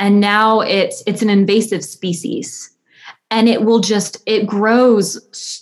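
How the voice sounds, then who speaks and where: A woman speaks in an American accent. Her voice is somewhat breathy. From US South, north Alabama. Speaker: photographer and art history student. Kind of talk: casual interview.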